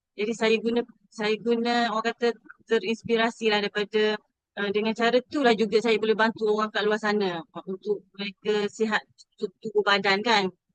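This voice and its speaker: A woman's fairly high voice in a flat monotone at a moderate pace, with a dry, close sound and no echo. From Terengganu, Besut, Malaysia. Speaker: former university administrator, homemaker. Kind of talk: testimony. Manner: halting.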